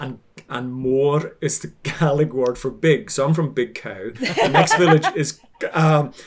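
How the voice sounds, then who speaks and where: A man with a Hebridean Scottish accent, fairly high in pitch and somewhat breathy, at a fairly slow pace, with ordinary pitch variation and big swings in loudness. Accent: Hebridean Scottish, Highland lilt. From Scotland, Outer Hebrides (Isle of Lewis). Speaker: baker and social media cook. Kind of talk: casual interview chat.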